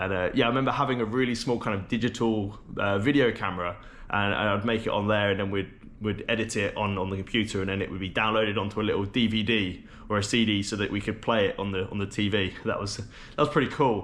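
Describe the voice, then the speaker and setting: Speaking at a very fast pace, a man with an English accent keeps a fairly even intonation. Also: fairly low pitch for a man. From London, England. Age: 20s. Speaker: travel vlogger. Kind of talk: casual vlog chat to camera. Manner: casual, conversational with fillers.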